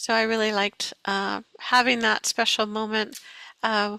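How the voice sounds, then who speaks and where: A woman speaks in a fairly high pitch with a bright, sharp tone. Her intonation is monotone and flat, and the sound is dry and close with no echo. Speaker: First Nations elder and guest speaker. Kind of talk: webinar presentation. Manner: halting, many fillers.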